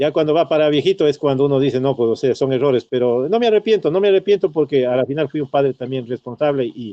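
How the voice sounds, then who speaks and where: Racing along very fast with hardly any pauses, a man speaks with lively intonation. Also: fairly high pitch for a man. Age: 60s. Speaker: retired teacher and former local politician. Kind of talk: radio interview. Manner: halting, many fillers and repetitions.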